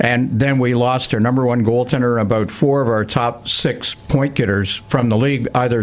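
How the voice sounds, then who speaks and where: Over noticeable background noise, a man speaks at a moderate pace in a medium pitch with fairly even intonation. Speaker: radio hockey play-by-play broadcaster. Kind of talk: interview answer. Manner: casual, conversational.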